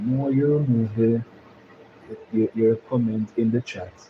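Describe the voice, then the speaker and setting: A man speaks at a medium pitch with a Jamaican accent. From Jamaica, Kingston. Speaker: YouTube live streamer. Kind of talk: live stream chat. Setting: live stream.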